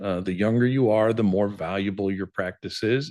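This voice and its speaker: This is a man with an ordinary speaking voice, fairly low in pitch. His pitch varies in an ordinary way over a quiet background. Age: 60s. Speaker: dental practice sales advisor. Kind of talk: webinar presentation. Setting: online webinar.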